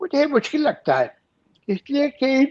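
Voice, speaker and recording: A man is talking. His delivery is fairly slow. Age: 70s. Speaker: poet, lyricist and screenwriter. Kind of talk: interview answer.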